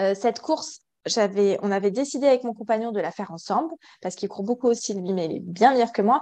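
A woman talks in a dark, mellow tone at a moderate pace. Her pitch varies in an ordinary way, and the background is quiet. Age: 30s. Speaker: ultra-trail runner with endometriosis. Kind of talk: testimony. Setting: video call.

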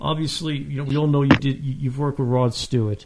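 This man has a fairly high pitch and a somewhat breathy voice. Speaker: podcast host. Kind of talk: interview. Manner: halting.

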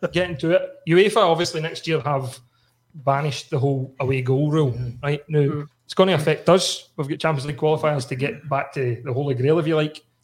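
A somewhat breathy man with a Glasgow accent, fairly high in pitch, at a fairly quick pace with ordinary pitch variation. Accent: Scottish (Glasgow). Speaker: podcast host. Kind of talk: casual chat. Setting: studio.

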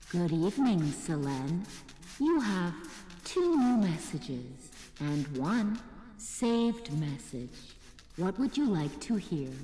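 A female-sounding voice, fairly low in pitch for a woman, speaks at a fairly slow pace with long, frequent pauses. There is clear echo and clear background noise.

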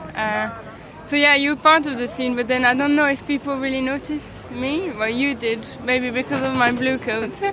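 Over crowd noise and audible room echo, a woman projects a raised, high-pitched voice at a moderate pace with fairly even intonation. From Brussels, Belgium. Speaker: illustrator. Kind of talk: street interview. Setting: outdoors at a flea market.

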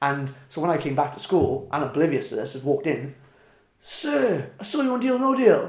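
In a Welsh accent, a man speaks at a moderate pace with a high pitch that swings very widely. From Wales, small Welsh town. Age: 20s. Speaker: professional wrestler. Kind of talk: casual interview chat.

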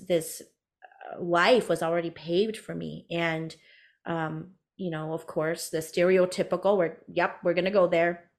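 This woman has a normal speaking voice with an American accent, fairly low in pitch. The recording is very clean, with a silent background. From US, Hmong American family. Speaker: business coach for career coaches. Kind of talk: interview, storytelling.

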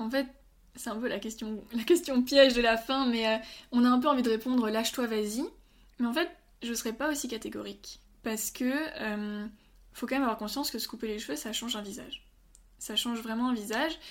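A woman speaks at a fairly quick pace in a high pitch with ordinary pitch variation. Her speech has long, frequent pauses. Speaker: medical student. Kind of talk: interview.

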